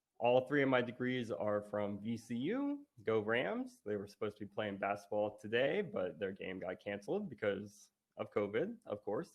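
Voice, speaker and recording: At a moderate pace, a man speaks in a plain, everyday voice of medium pitch with ordinary pitch variation. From US South, Virginia (Richmond). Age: 30s. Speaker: conference speaker, writer and physical therapist. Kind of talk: conference talk.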